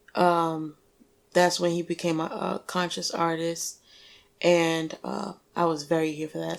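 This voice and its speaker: A woman with a New York accent speaks at a fairly slow pace and fairly low pitch. Her intonation is monotone and flat, and the recording is very clean with a silent background. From New York (Staten Island). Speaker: Navy veteran and musician. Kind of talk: casual interview.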